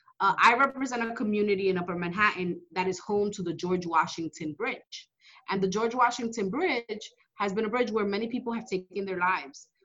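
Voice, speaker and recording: A woman with a plain, everyday voice and an American accent talks at a fairly quick pace, her medium pitch showing ordinary variation. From New York City, Dominican-born. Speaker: state legislator. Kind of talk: interview. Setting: office.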